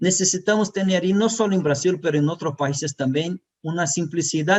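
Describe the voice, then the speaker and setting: In a Brazilian accent, a man speaks at a moderate pace. His voice is high, with ordinary pitch variation. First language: Portuguese (speaking Spanish). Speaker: tax expert. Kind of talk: conference presentation. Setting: web conference. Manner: halting.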